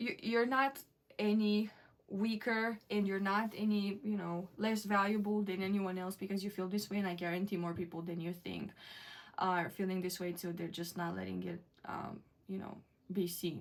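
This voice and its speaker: Pitched in the medium range, a woman talks with a non-native accent. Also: fairly even intonation, moderate pace. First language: not English. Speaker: tarot reader. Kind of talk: tarot reading to camera. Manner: hesitant, many fillers.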